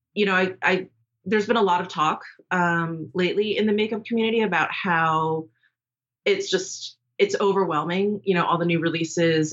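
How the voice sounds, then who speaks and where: A woman's fairly quick speech, a normal speaking voice, with ordinary pitch variation. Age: 40s. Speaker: beauty YouTuber. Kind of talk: casual chat.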